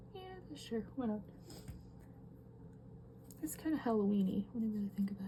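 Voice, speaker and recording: A soft-spoken woman talks fairly quickly in a calm, relaxed tone, with long, frequent pauses. Noticeable background noise is present. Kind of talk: casual talk to camera while drawing.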